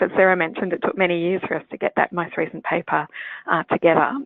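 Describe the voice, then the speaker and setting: In an Australian accent, a woman talks at a very fast pace. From Australia, Sydney area. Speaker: pediatrician and clinical geneticist. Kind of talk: lecture.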